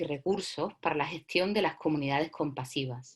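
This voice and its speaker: Speaking at a moderate pace, a woman uses an unremarkable speaking voice with ordinary pitch variation. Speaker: workshop facilitator. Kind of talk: lecture.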